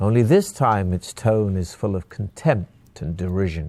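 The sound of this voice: An unforced reading voice with ordinary pitch variation.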